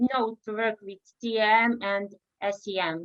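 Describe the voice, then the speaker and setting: A woman is speaking. She has a Serbian accent. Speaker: researcher. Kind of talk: interview. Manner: halting.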